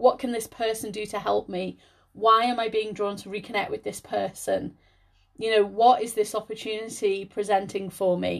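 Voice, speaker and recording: With a British accent and fairly high pitch, a woman speaks at a moderate pace in a flat monotone, her loudness swinging widely against a quiet background. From Liverpool area, England. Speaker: spiritual healer and podcast host. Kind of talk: solo podcast talk.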